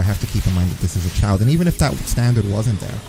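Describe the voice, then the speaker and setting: A man with an American accent, fairly low pitch and a very fast pace, music playing in the background. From New York. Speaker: streamer. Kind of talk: casual chat. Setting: live stream. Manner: animated.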